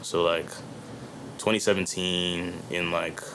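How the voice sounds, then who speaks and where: This man speaks with a very deep, low pitch over noticeable background noise. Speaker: rapper. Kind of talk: casual chat. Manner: animated.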